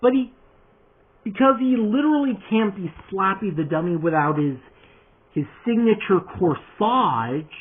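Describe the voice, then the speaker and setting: This man speaks at a fairly slow pace with a high pitch and very wide pitch swings. He leaves long, frequent pauses. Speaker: toy customizer youtuber. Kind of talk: casual vlog.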